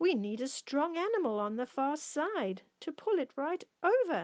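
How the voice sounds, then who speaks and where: A woman's gruff, put-on character voice, high-pitched with very wide pitch swings, at a moderate pace, with a dry, close sound and no echo. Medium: read story. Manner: cross, gruff.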